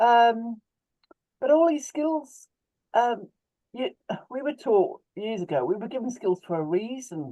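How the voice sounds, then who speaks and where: Pausing long and often, a woman speaks at a fairly slow pace in a fairly high, dark, mellow voice with very wide pitch swings. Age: 60s. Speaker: webinar participant, small food business owner. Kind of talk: personal testimony in group video call. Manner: halting, with false starts.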